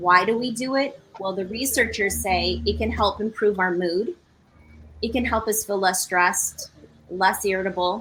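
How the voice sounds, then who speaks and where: Bright and sharp in tone, a woman speaks at medium pitch with ordinary pitch variation and vocal fry. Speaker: presenter on stress management. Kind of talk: presentation.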